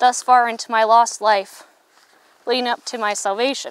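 With a dry sound and no echo, a woman with an American accent and high pitch speaks at a moderate pace, her intonation fairly even. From US Midwest, Cass County, Iowa; Iowa. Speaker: pastor's wife giving testimony. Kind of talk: testimony. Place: forest. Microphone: lapel.

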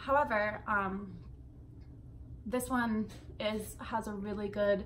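A woman talks slowly at medium pitch. Her tone is fairly bright and her intonation fairly even.

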